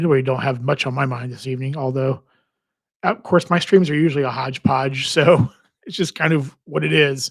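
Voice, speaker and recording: A man talks at medium pitch in a somewhat breathy voice, with ordinary pitch variation. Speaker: credit card and travel livestreamer. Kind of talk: casual livestream chat. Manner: relaxed, repetitive with false starts.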